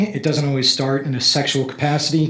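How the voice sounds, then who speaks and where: A man speaks in a fairly high pitch, with noticeable background noise and audible room echo. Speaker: parent speaking at public comment. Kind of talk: public comment at school board meeting. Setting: school board meeting. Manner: halting, many fillers.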